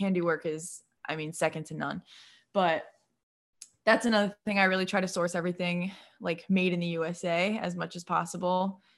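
This is an ordinary speaking voice at a moderate pace. The recording is very clean with a silent background. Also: woman. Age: 20s. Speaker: nurse and small business owner. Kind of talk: casual chat.

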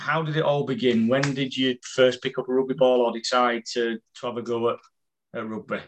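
A man at a medium pitch with a northern English accent, moderate pace and fairly even intonation. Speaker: fan event host. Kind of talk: casual interview. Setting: video call.

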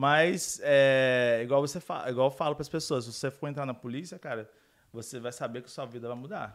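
Recorded very cleanly with a silent background, a man in a plain, everyday voice talks at a moderate pace, fairly high in pitch with ordinary pitch variation. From Brazil. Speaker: police officer. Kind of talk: casual chat.

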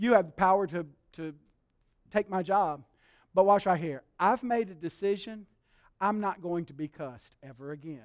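A man with a Southern US accent and a high pitch speaks at a moderate pace, with ordinary pitch variation and long, frequent pauses. His loudness swings widely on a very clean recording with a silent background. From Alabama. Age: 60s. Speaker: pastor. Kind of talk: sermon.

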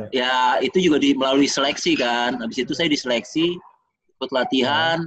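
Fairly high in pitch, this man speaks in a plain, everyday voice. He keeps a fairly quick pace with ordinary pitch variation. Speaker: retired basketball player. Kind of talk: casual interview.

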